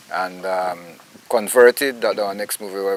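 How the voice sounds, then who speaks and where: With noticeable background noise, a man of fairly low pitch speaks at a moderate pace in a monotone, flat intonation. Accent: Belizean. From Belize. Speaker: actor, writer and poet. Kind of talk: interview answer.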